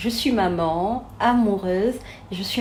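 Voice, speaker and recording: Over audible room echo, a woman with a medium pitch speaks in a dark, mellow, somewhat breathy tone with ordinary pitch variation. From Senegal. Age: 30s. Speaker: therapist and coach. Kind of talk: interview.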